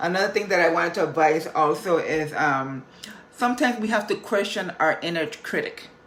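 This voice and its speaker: A woman's fairly low voice at a fairly quick pace, with lively intonation and noticeable background noise. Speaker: motivational vlogger. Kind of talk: motivational talk.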